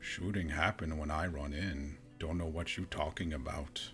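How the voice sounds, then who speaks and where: A man's put-on character voice at a very deep, low pitch and moderate pace, with clear background noise. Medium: game stream. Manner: terse broken English, drops articles and verbs.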